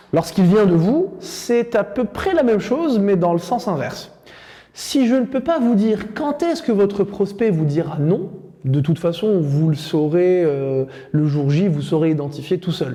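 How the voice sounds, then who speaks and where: Over noticeable background noise, a man with a high pitch speaks at a fairly slow pace, his intonation lively and his loudness very even. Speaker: sales trainer. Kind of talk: lecture.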